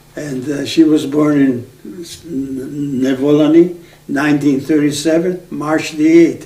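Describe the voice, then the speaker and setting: In a room with audible echo and noticeable background noise, a man with a fairly high pitch talks in a flat monotone, his loudness swinging widely. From Aegean Macedonia, northern Greece. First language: Macedonian. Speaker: oral history interviewee. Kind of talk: oral history interview. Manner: halting.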